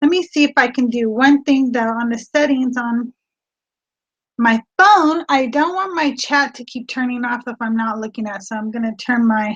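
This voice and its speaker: A woman speaks loudly at a moderate pace in a high voice with ordinary pitch variation. The sound is dry and close, with no echo. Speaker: online reseller. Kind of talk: casual livestream chat. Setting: live video stream from home studio. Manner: animated. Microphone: new laptop setup.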